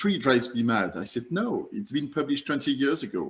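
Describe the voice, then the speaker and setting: The voice carries a French accent and is somewhat breathy. Its pitch swings very widely at a fairly quick pace. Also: man. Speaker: climate campaigner. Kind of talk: online summit presentation. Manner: halting.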